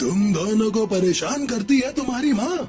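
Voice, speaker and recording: A man puts on a cartoonish character voice pitched high. Clear music plays in the background. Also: moderate pace. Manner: grave, measured.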